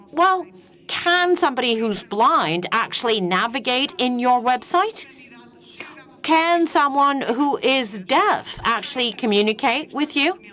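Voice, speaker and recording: Over noticeable background noise, a woman projects a raised, high-pitched voice with very wide pitch swings yet very even loudness. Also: fairly slow pace. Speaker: panel speaker, wheelchair user. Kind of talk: panel talk.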